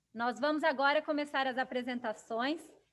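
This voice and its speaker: A woman with a high pitch talks at a fairly quick pace, keeping her intonation fairly even. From Brazil. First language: Portuguese. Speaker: business council chair and event moderator. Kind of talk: webinar introduction.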